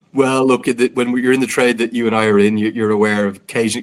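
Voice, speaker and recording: The speaker is a man. He has an Irish accent. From Ireland. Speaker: cricket commentator. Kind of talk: casual chat.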